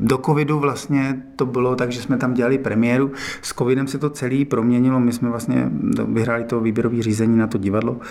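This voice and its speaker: A man's medium-pitched, monotone voice at a fairly quick pace, with noticeable background noise. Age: 40s. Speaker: acrobat and circus company director. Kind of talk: interview.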